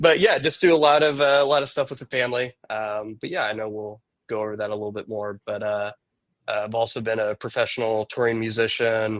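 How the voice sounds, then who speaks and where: An unremarkable speaking voice from a man at medium pitch, with a fairly quick pace, ordinary pitch variation and big swings in loudness. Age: 30s. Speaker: software engineer and former touring musician. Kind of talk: casual interview chat.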